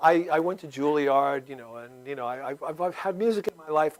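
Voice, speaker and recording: At a moderate pace, a man with a fairly high voice uses lively intonation and big swings in loudness. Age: 60s. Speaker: comedic video maker and performer. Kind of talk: talk show interview. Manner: animated.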